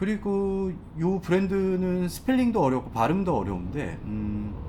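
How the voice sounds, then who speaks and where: A high-pitched man speaks with very wide pitch swings, accompanied by noticeable background noise and audible room echo. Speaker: fashion brand consultant, YouTuber. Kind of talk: tutorial. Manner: casual, hesitant with fillers.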